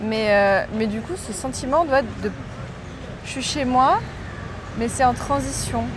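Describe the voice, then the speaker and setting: A woman at a fairly high pitch speaks at a fairly slow pace with ordinary pitch variation and long, frequent pauses, amid noticeable background noise and audible room echo. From Morocco. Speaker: podcast host. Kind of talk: casual chat.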